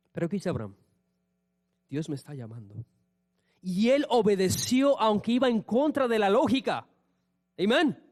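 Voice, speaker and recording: At a moderate pace, a man with a high pitch speaks in an animated tone with lively intonation. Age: 30s. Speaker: pastor. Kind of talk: sermon.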